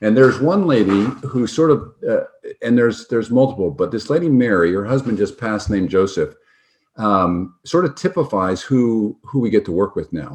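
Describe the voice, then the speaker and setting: A man with an upstate New York accent talks at a moderate pace and medium pitch, using lively intonation. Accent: American (upstate New York). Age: 60s. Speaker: physician and health tech founder. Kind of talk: interview storytelling. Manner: casual, halting with fillers.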